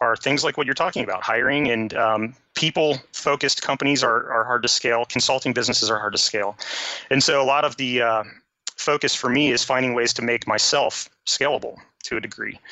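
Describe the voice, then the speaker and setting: With a plain, everyday voice, a man speaks fairly quickly at medium pitch with ordinary pitch variation. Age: 40s. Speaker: programmer. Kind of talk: casual chat.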